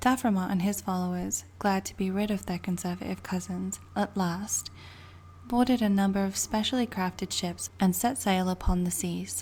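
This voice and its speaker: A woman whispers with a British accent. Her pace is moderate. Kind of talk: book reading. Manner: whispered.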